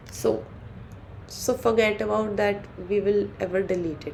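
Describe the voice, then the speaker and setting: Fairly high female voice against audible room echo. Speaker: coding tutor. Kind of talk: tutorial. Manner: halting, many fillers and restarts.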